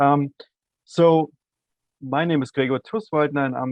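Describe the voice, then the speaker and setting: A man with an Austrian accent. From Austria, Salzburg. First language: German. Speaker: university administrator. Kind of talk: podcast interview.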